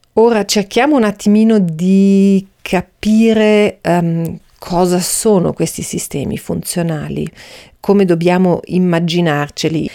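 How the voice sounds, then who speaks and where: Her tone dark and mellow, a woman speaks very slowly at a medium pitch with ordinary pitch variation. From Austria. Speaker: podcast host, Chinese medicine practitioner. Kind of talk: educational monologue. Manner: hesitant, many fillers.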